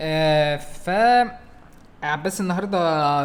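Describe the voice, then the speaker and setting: A man's voice, fairly high in pitch. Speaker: podcast co-host. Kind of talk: casual chat. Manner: louder, energetic.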